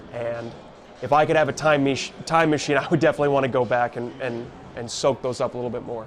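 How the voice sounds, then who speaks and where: Noticeable background noise sits behind a man talking at a fairly quick pace, with a medium pitch and fairly even intonation. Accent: American. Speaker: baseball radio broadcaster. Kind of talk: interview answer. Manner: conversational, reflective, self-deprecating.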